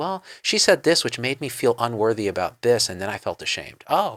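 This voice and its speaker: Very wide pitch swings mark this man's medium-pitched voice, delivered with an American accent. The recording is very clean, with a silent background and a dry, close sound with no echo. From New Jersey. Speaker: interviewer, doctor. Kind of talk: interview.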